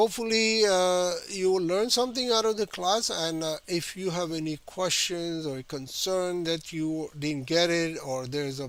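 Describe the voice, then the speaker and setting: The recording is very clean with a silent background. A man speaks fairly slowly at a fairly high pitch with ordinary pitch variation. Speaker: art teacher. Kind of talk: tutorial. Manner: halting, many fillers.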